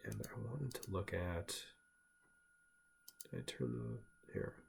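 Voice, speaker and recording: Somewhat breathy, a man speaks very slowly in a very deep, low voice. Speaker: stock trader. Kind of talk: tutorial. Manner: mumbling; casual, halting.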